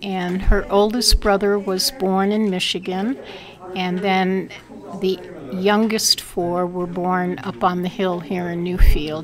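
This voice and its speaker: Through noticeable background noise, a woman with an American accent speaks at a very slow pace, her medium pitch kept in fairly even intonation. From Brooklyn, New York (Sunset Park). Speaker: oral history interviewee. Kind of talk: oral history interview. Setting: fire station meeting.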